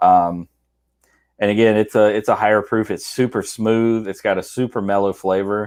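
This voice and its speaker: With a Southern US accent, a man speaks in a monotone, flat intonation at a fairly low pitch and a moderate pace, on a very clean recording with a silent background. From US South, South Georgia. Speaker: whiskey enthusiast co-host. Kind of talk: casual chat.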